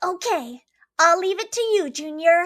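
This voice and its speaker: A female-sounding, put-on character voice, extremely high-pitched and squeaky, comes at a moderate pace. The tone is energetic. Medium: read story. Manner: energetic, earnest.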